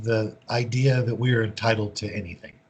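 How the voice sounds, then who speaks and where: A somewhat breathy, medium-pitched male voice with an American accent. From US. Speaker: recovery speaker and author. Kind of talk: speaker meeting Q&A.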